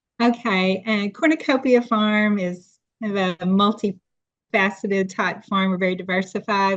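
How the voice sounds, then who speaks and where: At a moderate pace, a woman with a slight East Tennessee accent speaks at medium pitch with fairly even intonation. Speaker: farmer. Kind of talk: podcast interview.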